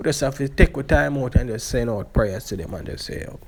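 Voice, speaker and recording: In a Jamaican accent, the speaker moves at a moderate pace with lively intonation. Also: man. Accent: Jamaican English with patois features. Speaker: YouTube vlogger. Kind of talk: casual vlog commentary. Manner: halting.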